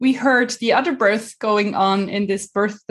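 A woman's plain, everyday voice, fairly slow, with ordinary pitch variation. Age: 40s. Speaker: mother and life coach. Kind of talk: personal testimony.

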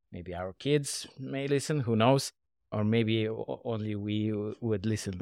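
Dark and mellow in tone, a man with a Russian accent speaks at a fairly low pitch with ordinary pitch variation at a moderate pace, in a dry, close sound with no echo. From Russia, Moscow. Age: 30s. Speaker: podcast co-host, software engineering manager. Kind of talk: casual chat.

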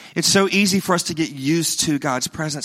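A man with a fairly high pitch speaks in a Southern US accent. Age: 40s. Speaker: pastor. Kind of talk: sermon. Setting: church.

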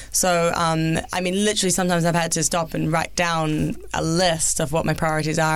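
Speaking at a fairly quick pace with a New Zealand accent, a woman with a fairly low pitch is heard over noticeable background noise and audible room echo. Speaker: former Olympic skier and sports TV presenter. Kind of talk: interview.

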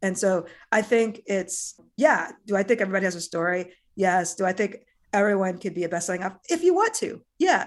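Over a quiet background, the speaker talks at a fairly quick pace with ordinary pitch variation. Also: woman, medium pitch for a woman. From US Midwest, small-town Iowa. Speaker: author and leadership consultant. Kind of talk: casual interview.

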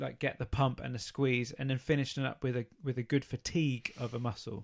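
Speaking at a fairly quick pace, a man uses an ordinary speaking voice at a medium pitch with fairly even intonation. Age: 30s. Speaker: fitness podcast co-host. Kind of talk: casual chat.

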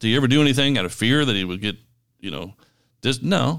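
A man with a Kentucky accent and a medium pitch, in a very clean recording with a silent background. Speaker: podcast co-host, pastor. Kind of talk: casual chat.

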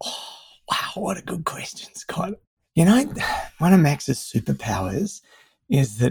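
With an Australian accent, a man speaks at a fairly slow pace in a dark, mellow, somewhat breathy tone, his pitch swinging very widely. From Melbourne, Australia. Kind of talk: interview conversation.

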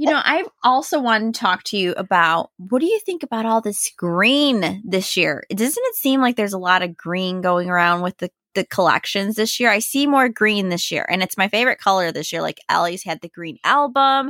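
In a very clean recording with a silent background and a dry, close sound with no echo, a woman at a medium pitch talks at a moderate pace with hardly any pauses, using an animated, bright, sharp tone and lively intonation. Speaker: podcast co-host. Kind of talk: casual chat.

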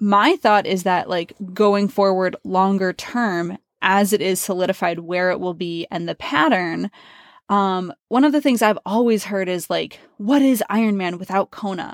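In a normal speaking voice, a woman with medium pitch speaks at a fairly slow pace on a very clean recording with a silent background. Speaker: podcast host and pro triathlete. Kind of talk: casual interview.

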